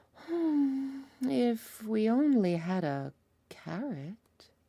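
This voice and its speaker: A put-on character voice at a fairly high pitch moves at a very slow pace with very wide pitch swings. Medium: read story. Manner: theatrical, persuasive.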